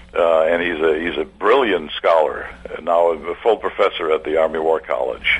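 Moderate-paced speech from a man, noticeable background noise underneath. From Germany (East Prussia). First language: German.

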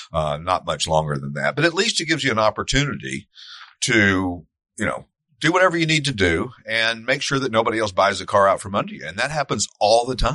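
With a Tennessee accent, a man at a medium pitch talks at a fairly quick pace, his pitch swinging very widely. There is vocal fry in his voice, and the background is quiet. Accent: Southern US (Tennessee). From East Tennessee. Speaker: classic car dealership owner and podcast host. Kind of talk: casual chat. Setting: studio with live audience.

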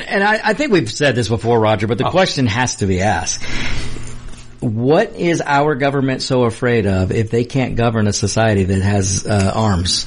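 A man's medium-pitched voice at a moderate pace, with lively intonation and music in the background. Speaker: co-host. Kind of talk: casual banter. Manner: jokey, laughing, storytelling.

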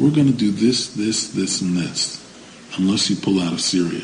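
There is noticeable background noise as a man speaks with an American accent. His intonation is lively. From United States. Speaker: political commentator. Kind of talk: interview.

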